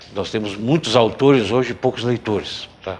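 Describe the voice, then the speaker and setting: A man at a moderate pace. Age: 60s. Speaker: journalist and writer. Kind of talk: TV interview. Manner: halting, many fillers.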